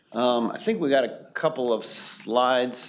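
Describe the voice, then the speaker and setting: A man's voice with fairly even intonation over noticeable background noise. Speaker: consultant presenting to county board. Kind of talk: public meeting presentation. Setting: county board meeting room. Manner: halting, many fillers.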